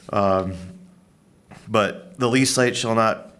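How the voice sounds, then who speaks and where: There is audible room echo around a man with an American accent. His pitch sits at a medium level. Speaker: county staff presenting policy. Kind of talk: public meeting presentation. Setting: county board work session. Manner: loud.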